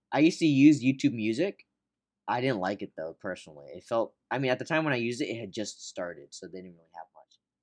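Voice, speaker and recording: At a very fast pace, a man talks at medium pitch with very wide pitch swings and big swings in loudness. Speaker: podcast host, movie reviewer. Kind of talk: casual chat, movie review podcast. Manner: casual, conversational, chatty.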